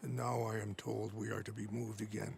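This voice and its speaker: A man's put-on character voice, raspy and fairly low-pitched, at a fairly quick pace with very even loudness over clear background noise. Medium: video game. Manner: grave, measured.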